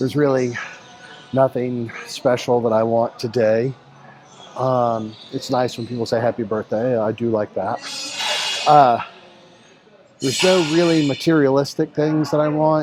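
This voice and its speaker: Amid noticeable background noise, a man with an American accent speaks with ordinary pitch variation and long, frequent pauses. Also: medium pitch for a man, fairly slow pace. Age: 60s. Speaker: fitness coach. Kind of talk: workout vlog with casual talk.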